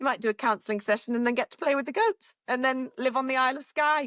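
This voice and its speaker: A woman with a northern English accent talks at a very fast pace in a high pitch. Her pitch varies an ordinary amount, and the sound is dry and close with no echo. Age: 50s. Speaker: radio presenter. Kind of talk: casual chat.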